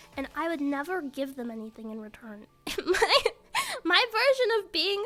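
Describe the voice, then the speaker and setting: Soft-spoken yet animated, the voice makes very wide pitch swings over noticeable background noise. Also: woman. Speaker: streamer. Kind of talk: casual chat. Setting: live stream. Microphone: mic turned up, was too quiet.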